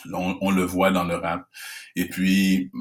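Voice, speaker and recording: A man with a very deep, low pitch speaks at a very slow pace. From Quebec, Canada (Haitian family). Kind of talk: casual interview.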